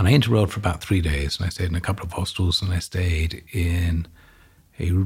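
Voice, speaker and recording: On a very clean recording with a silent background, a man with an English accent speaks at a fairly quick pace in a very deep, low pitch, somewhat breathy, with fairly even intonation. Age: 50s. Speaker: real estate executive. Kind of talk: interview. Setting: studio.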